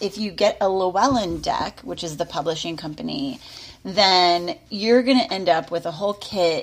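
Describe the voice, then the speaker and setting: Noticeable background noise sits behind a woman's voice. She talks at a moderate pace and medium pitch with lively intonation. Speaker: tarot podcast co-host. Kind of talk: casual chat.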